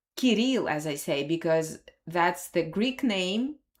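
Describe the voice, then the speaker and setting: A woman with a Russian accent makes very wide pitch swings in a very clean recording with a silent background. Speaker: language teacher. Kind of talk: live stream lesson. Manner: halting.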